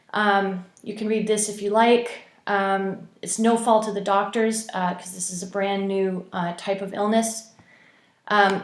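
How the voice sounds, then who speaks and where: Audible room echo surrounds a woman speaking at a very slow pace and a fairly high pitch. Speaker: former ICU nurse, video blogger. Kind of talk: casual video commentary. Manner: hesitant, many fillers.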